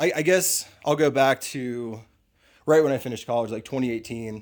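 Recorded very cleanly with a silent background, a man with a normal speaking voice talks at a fairly quick pace, medium pitch, and ordinary pitch variation. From US Northeast, suburban Philadelphia. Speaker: tintype photographer. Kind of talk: casual chat.

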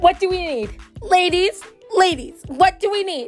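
With faint music in the background, a woman puts on a character voice at an extremely high pitch and a moderate pace. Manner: earnest, coaxing.

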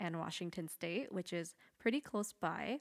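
Heard dry and close with no echo, a woman uses an ordinary speaking voice at a moderate pace with ordinary pitch variation. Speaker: guest on podcast. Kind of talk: casual chat. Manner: nervous, laughs often.

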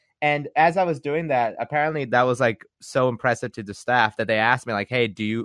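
In a dry, close sound with no echo and a quiet background, a man talks in a plain, everyday voice. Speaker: podcast host. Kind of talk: casual chat.

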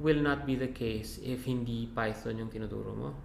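A man's medium-pitched voice with monotone, flat intonation and audible room echo. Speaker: podcast host. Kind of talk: interview.

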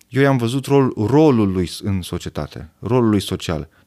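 A man's unremarkable speaking voice at a medium pitch and fairly slow pace, with lively intonation, in a very clean recording with a silent background. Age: 40s. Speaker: urologist. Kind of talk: casual chat.

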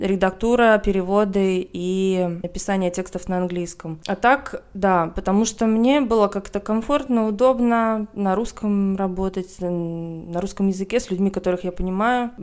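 Speaking at a moderate pace with hardly any pauses, a woman has a medium pitch, ordinary pitch variation and a normal speaking voice. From Russia. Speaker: journalist and art historian. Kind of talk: casual chat.

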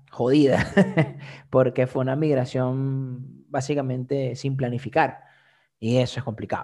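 On a very clean recording with a silent background, a man with a Venezuelan accent speaks at a very slow pace in a medium-pitched, dark, mellow voice with monotone, flat intonation. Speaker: comedian and content creator. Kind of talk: casual interview chat.

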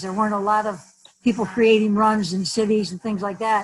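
A somewhat breathy woman's voice, fairly high in pitch, with an American accent. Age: 70s. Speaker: community activist and pet owner. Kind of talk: casual interview.

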